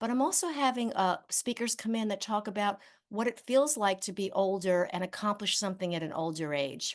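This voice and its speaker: Lively intonation from a medium-pitched woman, fairly quick with hardly any pauses, against a quiet background. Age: 60s. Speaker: author and aging speaker. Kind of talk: interview. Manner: halting, many fillers.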